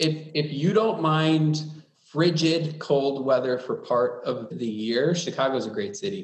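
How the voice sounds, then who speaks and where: Audible room echo surrounds this fairly slow delivery, which has ordinary pitch variation. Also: man, fairly high pitch for a man. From US Midwest, Wisconsin. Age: 40s. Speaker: public sector IT executive. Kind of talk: interview.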